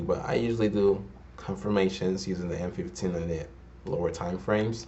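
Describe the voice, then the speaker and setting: Someone speaks at a moderate pace with fairly even intonation amid audible room echo. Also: man. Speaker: forex trader and trading educator. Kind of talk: tutorial.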